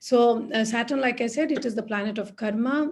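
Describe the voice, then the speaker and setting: Over a quiet background, a woman speaks at a moderate pace in a somewhat breathy, fairly high voice with ordinary pitch variation. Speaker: astrologer. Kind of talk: online talk to live audience. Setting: live online session with chat.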